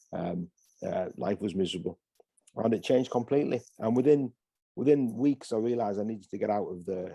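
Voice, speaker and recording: With a northeast English accent, a man speaks at a fairly quick pace in a dark, mellow tone with ordinary pitch variation. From northeast England, Hartlepool. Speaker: pastor. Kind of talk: interview. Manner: halting.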